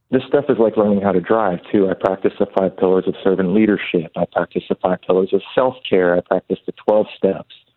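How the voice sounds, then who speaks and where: An unremarkable speaking voice moves at a fairly quick pace with hardly any pauses. Loudness stays very even and the intonation fairly even. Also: man, fairly low pitch for a man. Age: 40s. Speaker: tattoo artist and author. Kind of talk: interview testimony.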